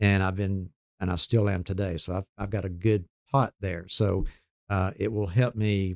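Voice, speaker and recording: On a very clean recording with a silent background and a dry, close sound with no echo, a man with an unremarkable speaking voice speaks fairly low and fairly slowly, his intonation fairly even. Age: 60s. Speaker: mortgage banker. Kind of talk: casual chat. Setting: studio.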